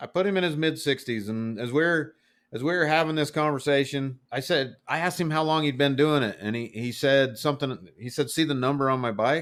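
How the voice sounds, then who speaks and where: With a plain, everyday voice, a man talks at a fairly quick pace and fairly high pitch, using ordinary pitch variation and hardly any pauses, on a very clean recording with a silent background. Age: 40s. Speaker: motorcycle podcast host. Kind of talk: casual chat.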